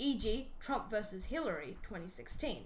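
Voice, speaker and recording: With very wide pitch swings and a high pitch, a woman talks at a fairly quick pace over noticeable background noise. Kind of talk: educational explainer narration.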